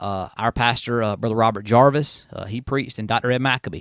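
A man with a South Carolina accent talks at a fairly quick pace in a medium pitch. The sound is dry and close, with no echo. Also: quiet background. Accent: Southern US (South Carolina). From Upstate South Carolina (Union). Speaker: assistant pastor. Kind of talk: testimony; casual interview.

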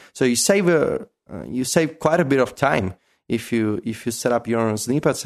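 Against a quiet background, a man speaks with an Italian accent. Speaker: tech writer and app expert. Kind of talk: casual interview chat.

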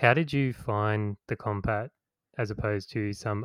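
A man with an unremarkable speaking voice and a fairly low pitch talks at a fairly slow pace in a very clean recording with a silent background and a dry, close sound with no echo. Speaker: podcast host. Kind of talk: casual chat, podcast interview.

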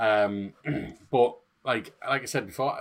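Speaking with a northeast English accent, this man has a fairly low pitch. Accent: northeast English (Hartlepool). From northeast England. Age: 30s. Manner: jokey, swearing.

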